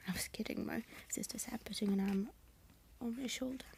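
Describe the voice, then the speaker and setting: Soft-spoken delivery in a British accent at a fairly quick pace. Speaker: ASMR reader. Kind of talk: reading aloud. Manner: halting.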